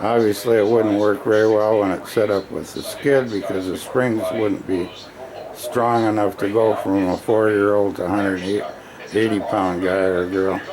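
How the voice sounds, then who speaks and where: In a room with audible echo and noticeable background noise, a man with a fairly low pitch talks at a moderate pace in a monotone, flat intonation. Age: 70s. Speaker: small workshop builder. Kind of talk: product demo video. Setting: workshop. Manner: casual, halting.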